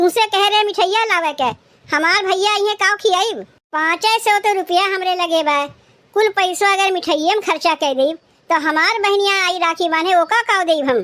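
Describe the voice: A woman puts on a cartoonish character voice, squeaky and extremely high. Her loudness stays very even and her pace is moderate.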